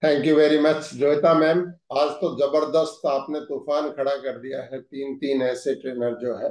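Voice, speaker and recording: A man with a fairly high pitch speaks in a flat monotone, with hardly any pauses. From Haryana, India. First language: Haryanvi (speaking Hindi). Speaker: managing director of a direct-selling company. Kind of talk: corporate training session address.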